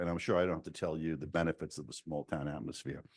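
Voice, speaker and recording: A man with a New York accent speaks against a quiet background. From New York City. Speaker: state senator. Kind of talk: speech to town council. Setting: council chamber podium. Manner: frequent hesitations.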